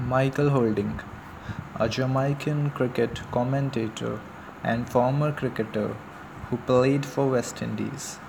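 Speaking in a monotone, flat intonation at medium pitch, a man goes at a fairly slow pace over noticeable background noise. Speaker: cricket enthusiast narrator. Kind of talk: informal monologue tribute.

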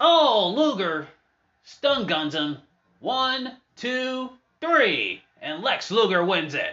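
The speaker is a man. Very wide swings mark his pitch. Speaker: wrestling show host. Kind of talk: live-style wrestling commentary over match footage. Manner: casual, upbeat.

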